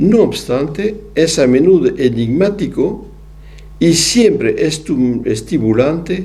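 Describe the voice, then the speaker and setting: Very slow and with very wide pitch swings, a man speaks in a French accent amid audible room echo and noticeable background noise. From southwest France. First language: French (speaking Spanish). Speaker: psychoanalyst lecturer. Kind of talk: lecture. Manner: halting.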